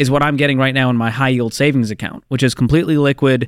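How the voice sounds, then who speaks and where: A man talks at a very fast pace in a medium pitch. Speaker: radio show co-host and personal finance author. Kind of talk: call-in advice show. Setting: studio. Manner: playful.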